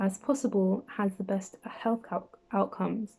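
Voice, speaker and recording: A woman's put-on character voice, mumbled at a medium pitch. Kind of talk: explanatory, informal. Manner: mumbling.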